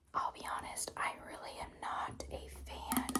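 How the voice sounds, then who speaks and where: Someone is whispering at a very slow pace. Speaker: ASMR creator. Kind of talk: ASMR haul video. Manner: whispered or soft-spoken.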